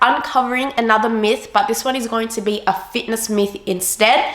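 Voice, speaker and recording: A woman talks with an Australian accent at a fairly slow pace. There is noticeable background noise. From Australia, Sydney. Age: 20s. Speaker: fitness vlogger. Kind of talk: casual explainer vlog.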